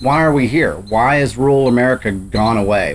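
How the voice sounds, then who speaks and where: A man speaks with a Texan accent. He keeps a moderate pace with ordinary pitch variation. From Texas Panhandle. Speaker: podcast host. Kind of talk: interview conversation.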